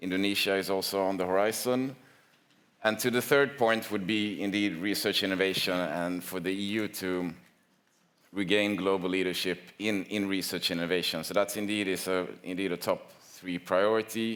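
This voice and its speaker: A man with a Swedish accent and fairly low pitch talks at a moderate pace with fairly even intonation. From Sweden. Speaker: industry association representative. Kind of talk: conference panel talk. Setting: conference with audience. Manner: hesitant, with fillers and repetitions.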